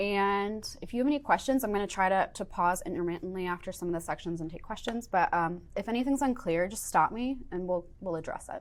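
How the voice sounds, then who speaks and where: A woman with an American accent talks at a fairly quick pace, with hardly any pauses. Her pitch is medium and her intonation lively. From upstate New York. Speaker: software engineer teaching a workshop; workshop instructor. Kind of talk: workshop lecture. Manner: fast. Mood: friendly, enthusiastic. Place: studio.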